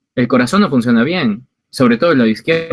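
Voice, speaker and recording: Over a dry, close sound with no echo, a man of medium pitch speaks at a fairly quick pace with very wide pitch swings. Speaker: physician lecturer. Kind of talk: online lecture to medical students. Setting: video call.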